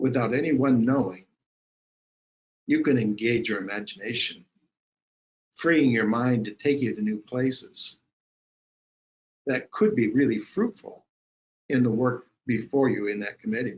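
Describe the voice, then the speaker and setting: A man's medium-pitched voice with ordinary pitch variation and long, frequent pauses. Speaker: webinar presenter, higher education consultant. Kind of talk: webinar presentation with guided imagination exercise. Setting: online webinar. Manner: slow, deliberate pacing in exercise.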